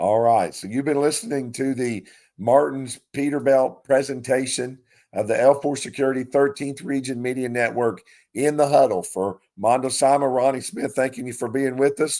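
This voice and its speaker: With an Appalachian accent, a man talks in fairly even intonation on a very clean recording with a silent background. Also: medium pitch for a man, moderate pace. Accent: Appalachian Kentucky. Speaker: sports radio host. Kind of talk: sports talk show.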